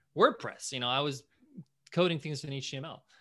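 In a very clean recording with a silent background, a man with a bright, sharp tone speaks at a moderate pace with ordinary pitch variation. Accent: New York. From US, New York. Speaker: entrepreneur and podcast host. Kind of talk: interview.

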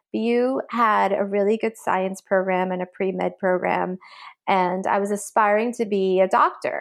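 A woman with an American accent speaks in a plain, everyday voice at medium pitch. She talks at a fairly slow pace with fairly even intonation over a quiet background. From Massachusetts, Belmont. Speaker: fintech executive. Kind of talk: interview. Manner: frequent fillers (um).

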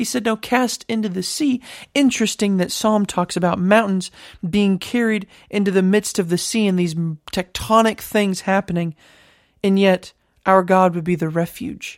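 A woman's unremarkable speaking voice, medium in pitch, at a moderate pace with ordinary pitch variation, recorded very cleanly against a silent background with a dry, close sound and no echo. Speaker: podcast host and Bible teacher. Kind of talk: Bible study teaching, podcast.

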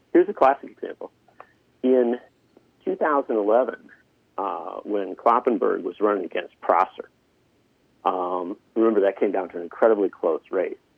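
Speaking at a moderate pace with an Upper Midwest accent, a man leaves long, frequent pauses. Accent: Upper Midwest American. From Wisconsin, Union Grove. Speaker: political journalist. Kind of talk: political discussion.

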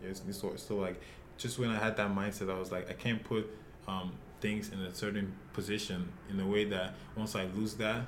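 Audible room echo surrounds a man's fairly low voice. He keeps a moderate pace and a monotone, flat intonation. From Nigeria, Lagos. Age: 20s. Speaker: professional soccer player. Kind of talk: interview.

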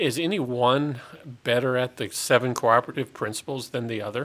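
A man in an ordinary speaking voice talks at a medium pitch with ordinary pitch variation. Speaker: utility general manager. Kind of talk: casual interview. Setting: studio.

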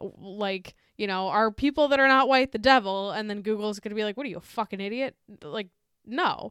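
A woman's fairly high, animated voice at a fairly quick pace, with big swings in loudness, ordinary pitch variation, and a dry, close sound with no echo. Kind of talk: casual comedic banter, sarcastic riffing with profanity. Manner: sarcastic, irreverent, animated riffing.

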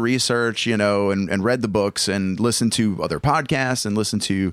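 A man speaks in an animated tone with a Southern US accent. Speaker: real estate agent and podcast host. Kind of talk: casual podcast chat. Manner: animated, jokey.

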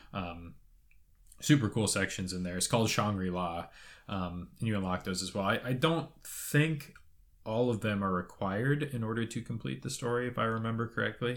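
Recorded very cleanly against a silent background, a man with a plain, everyday voice and fairly low pitch speaks at a moderate pace. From Canada, Toronto. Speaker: video game podcast co-host. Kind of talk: casual chat. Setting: studio.

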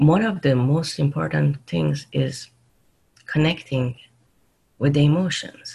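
A woman with a Persian accent, fairly slow pace and long, frequent pauses. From Iran (Tehran). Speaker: leadership coach and mindfulness educator. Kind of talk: interview conversation.

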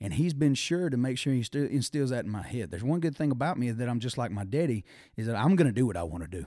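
A man with a Southern US accent, medium pitch and a dark, mellow tone, talking at a very fast pace with lively intonation on a very clean recording with a silent background. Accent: Southern US (Georgia). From Georgia, US South (Thomaston). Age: 20s. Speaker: musician and football strength coach. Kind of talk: casual chat.

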